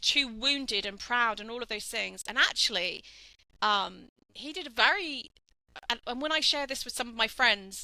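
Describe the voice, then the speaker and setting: With a high pitch and a bright, sharp tone, a woman talks at a moderate pace, her intonation lively and her loudness swinging widely. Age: 50s. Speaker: life coach. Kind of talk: podcast interview.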